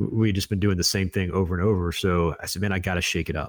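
A man with an American accent speaks at a very deep, low pitch with fairly even intonation, in a very clean recording with a silent background. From US South, Florida Panhandle (Destin). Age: 40s. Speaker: war veteran and author. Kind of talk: casual interview.

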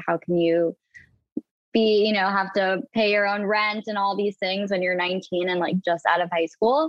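Moving at a medium tempo, an ordinary speaking voice varies its pitch in an ordinary way. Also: woman. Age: 20s. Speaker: reality TV personality. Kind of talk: casual chat.

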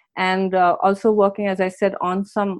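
Over a quiet background, the speaking goes at a moderate pace. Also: woman. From India. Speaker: documentary filmmaker and entrepreneur. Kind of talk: interview conversation.

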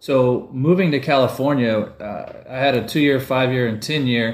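A man speaks with ordinary pitch variation. Audible echo fills the room. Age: 50s. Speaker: winemaker. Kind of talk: interview. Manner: halting, many fillers and repetitions.

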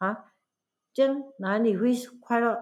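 Lively intonation from a female speaker. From Malaysia, Pahang. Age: 70s. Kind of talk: casual family interview. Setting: camping at grandmother's home.

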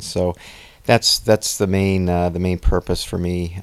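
A man with a very deep, low voice speaks at a moderate pace with fairly even intonation. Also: very clean recording, silent background. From Pennsylvania, US. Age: 50s. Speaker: triathlete, physician. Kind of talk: interview.

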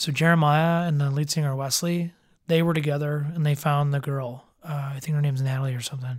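A man with an American accent talks very fast at a fairly high pitch, in a flat monotone that is somewhat breathy, on a very clean recording with a silent background. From Chicago area. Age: 20s. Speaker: musician.

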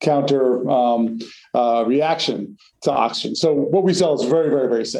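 A man with an American accent has an unremarkable speaking voice, fairly high in pitch, with ordinary pitch variation. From US Northeast, North Jersey. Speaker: company founder. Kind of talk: interview.

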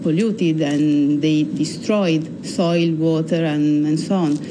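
Over noticeable background noise, a woman with an Italian accent speaks in a very deep, low pitch with monotone, flat intonation. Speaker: energy company analyst. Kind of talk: interview. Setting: studio.

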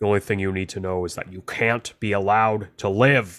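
A man puts on a character voice at a fairly low pitch. He speaks at a fairly quick pace. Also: very clean recording, silent background. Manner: threatening, cold.

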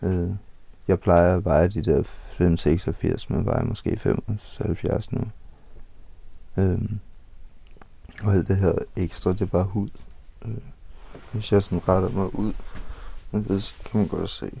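Very slow, somewhat breathy speech from a man with a fairly low pitch, fairly even intonation, and long, frequent pauses. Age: 20s. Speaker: homeless man. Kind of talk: interview. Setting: outdoors.

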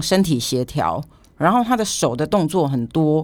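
Recorded very cleanly with a silent background, a woman speaks with very wide pitch swings. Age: 50s. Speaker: street dance hobbyist, former journalist. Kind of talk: casual interview chat.

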